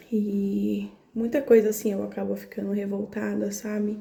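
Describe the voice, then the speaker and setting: Soft-spoken and at medium pitch, a woman with a Brazilian accent talks at a moderate pace. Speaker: spiritual content creator. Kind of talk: casual monologue about spirituality.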